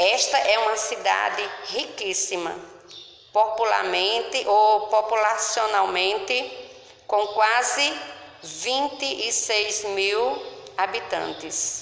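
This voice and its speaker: A woman speaks at a very slow pace and fairly high pitch. There is noticeable background noise and audible room echo. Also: ordinary pitch variation. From Paraíba, Brazil (grew up in São Bento). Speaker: local presenter of her/his hometown. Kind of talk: scripted narration.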